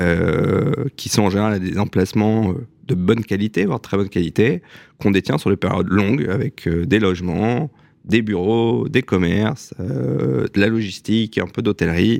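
Lively intonation and vocal fry mark a man's fairly low voice at a moderate pace, in a dry, close sound with no echo. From Alsace, France (Strasbourg). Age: 40s. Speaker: real estate company executive. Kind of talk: radio interview.

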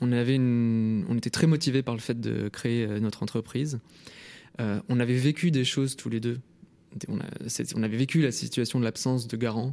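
A man with a dark, mellow tone talks at a moderate pace, pausing long and often. His intonation stays fairly even in a very clean recording with a silent background. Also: medium pitch for a man. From France, Lyon. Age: 20s. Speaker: startup founder. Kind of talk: radio interview.

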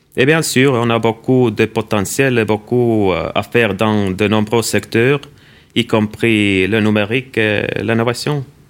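Speaking very slowly, a man in an Estonian accent keeps a medium pitch with ordinary pitch variation. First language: Estonian (speaking French). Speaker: ambassador. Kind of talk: interview. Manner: halting.

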